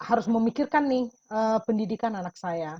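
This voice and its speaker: Speaking at a fairly slow pace, a woman uses a medium pitch and lively intonation. Her sound is dry and close, with no echo. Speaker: testimony giver in a webinar. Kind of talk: testimony. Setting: video call.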